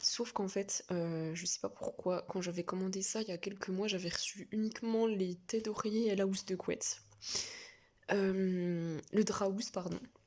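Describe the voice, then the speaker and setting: A woman talks fairly slowly in a medium pitch, with monotone, flat intonation. Noticeable background noise can be heard. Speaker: book vlogger. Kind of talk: casual vlog. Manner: hesitant, many fillers; soft-spoken.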